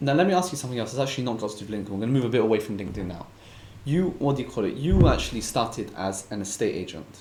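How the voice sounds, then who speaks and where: A man speaks at a very fast pace with lively intonation and medium pitch, with audible room echo. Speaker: podcast host. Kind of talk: interview. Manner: stutters a bit.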